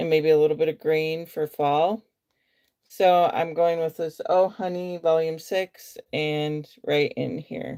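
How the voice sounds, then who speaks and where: A woman with a slight Western US accent speaks at a fairly slow pace in a fairly low, dark, mellow tone. The recording is very clean, with a silent background. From US Midwest. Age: 40s. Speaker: beauty vlogger. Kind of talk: makeup tutorial livestream chat. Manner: casual, hesitant with fillers.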